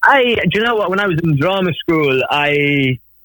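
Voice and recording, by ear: At a fairly slow pace, a man speaks in a bright, sharp tone.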